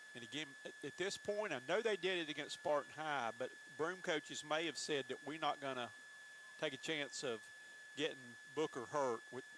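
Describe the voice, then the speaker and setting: A man with a South Carolina accent talks at a moderate pace. His pitch is fairly high, with ordinary variation. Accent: Southern US (South Carolina). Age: 60s. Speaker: play-by-play announcer. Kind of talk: live commentary.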